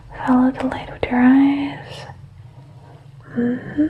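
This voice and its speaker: The voice moves at a very slow pace over noticeable background noise. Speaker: ASMR creator doing a doctor roleplay. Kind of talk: ASMR medical roleplay, guided exam. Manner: soft-spoken, gentle, calming.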